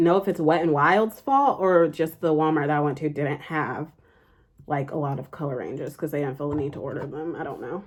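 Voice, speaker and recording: Over a quiet background, a woman with an American accent speaks with ordinary pitch variation. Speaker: beauty vlogger. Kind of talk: casual chat.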